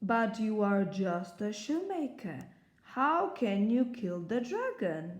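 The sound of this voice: The speaker reads in an unforced reading voice.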